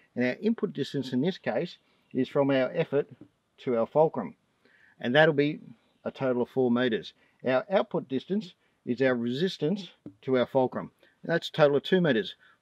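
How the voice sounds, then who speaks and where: A man at a moderate pace, long pauses coming often, in a dry sound with no echo against a quiet background. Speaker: presenter. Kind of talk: tutorial. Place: open country.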